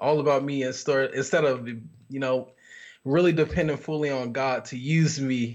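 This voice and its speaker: An ordinary speaking voice, moderate in speed, with ordinary movement in pitch. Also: man. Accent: American. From Miami, Florida, military bases. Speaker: minister and author. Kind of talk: casual chat.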